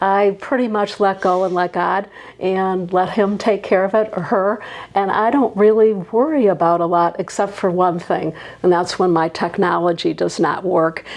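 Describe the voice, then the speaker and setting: Moderate pace, ordinary pitch variation and very even loudness, with noticeable background noise. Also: woman, medium pitch for a woman. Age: 70s. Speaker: physician. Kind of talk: interview conversation.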